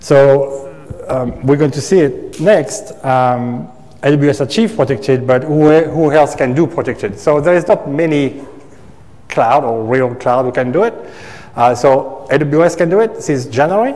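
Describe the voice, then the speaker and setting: Ordinary pitch variation runs through a man's fairly slow delivery. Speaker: cloud engineer. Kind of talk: technical presentation. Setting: stage with audience. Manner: halting. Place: meeting room.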